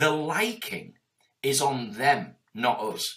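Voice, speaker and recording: Here a man speaks in a Yorkshire accent. His tone is animated and his pitch fairly high. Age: 40s. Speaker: entrepreneur. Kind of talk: interview.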